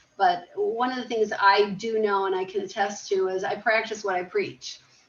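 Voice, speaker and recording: Medium pitch from a woman, with noticeable background noise behind her. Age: 60s. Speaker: self-realization coach. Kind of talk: interview.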